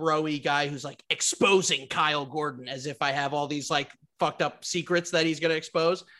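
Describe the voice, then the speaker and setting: Over a quiet background, a man with a fairly high pitch and a bright, sharp tone talks at a moderate pace. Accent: American. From Westchester, New York. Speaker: comedian. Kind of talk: casual chat.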